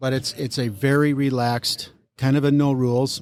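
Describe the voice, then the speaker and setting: An ordinary speaking voice with an American accent moves at a fairly slow pace. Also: man. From Minnesota. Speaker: car club president. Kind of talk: interview. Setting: on location at event.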